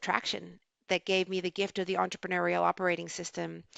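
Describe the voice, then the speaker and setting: A woman talks in an Australian accent at a medium pitch. Her pace is fairly quick, and her pitch variation is ordinary. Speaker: business advisor. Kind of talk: podcast interview.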